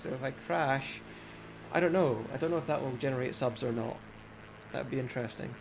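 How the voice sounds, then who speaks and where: Talking at a fairly quick pace, a man holds a medium pitch with fairly even intonation. Audible room echo surrounds his voice. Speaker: gaming live streamer. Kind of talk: live stream commentary.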